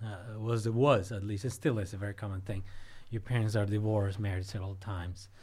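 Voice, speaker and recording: A man with a Spanish accent, fairly low in pitch and somewhat breathy, at a very fast pace with fairly even intonation, amid audible room echo. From Cuba, Havana. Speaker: professor. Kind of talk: interview.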